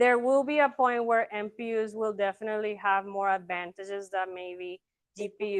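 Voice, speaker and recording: A woman of medium pitch at a moderate pace, with a quiet background and a dry, close sound with no echo. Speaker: student presenter. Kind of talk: Q&A after class presentation. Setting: classroom, streamed online. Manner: loud; hesitant, many fillers.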